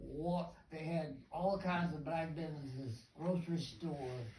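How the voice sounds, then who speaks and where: With noticeable noise in the background, the words come fairly slowly. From Arlington, Virginia (Queen City). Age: 90s. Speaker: community activist. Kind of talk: testimony.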